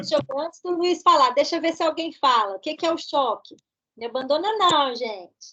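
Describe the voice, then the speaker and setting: Projecting a raised voice, a woman speaks at a moderate pace in a high pitch with a bright, sharp tone and lively intonation. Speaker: pathology professor. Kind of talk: lecture. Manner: interactive, questioning students.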